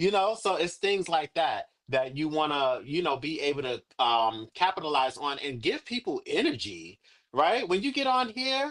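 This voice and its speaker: Loud and high-pitched, a man speaks with very wide pitch swings. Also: moderate pace. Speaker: livestream coach / agency mentor. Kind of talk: online workshop / coaching session. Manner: animated, energetic.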